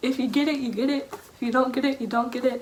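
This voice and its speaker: A high-pitched woman's voice amid noticeable background noise. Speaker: book vlogger. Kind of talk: casual vlog monologue.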